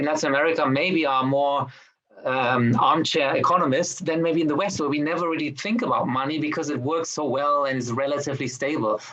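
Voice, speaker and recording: Noticeable background noise and audible room echo surround a man talking at a very fast pace. His voice sits fairly high, with ordinary pitch variation. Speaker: film director. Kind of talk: interview.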